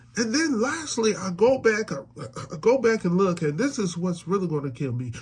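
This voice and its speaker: An animated tone at a moderate pace, with very wide pitch swings. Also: man. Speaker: sports fan commentator. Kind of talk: casual reaction monologue. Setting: at home. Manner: animated, repetitive stammering.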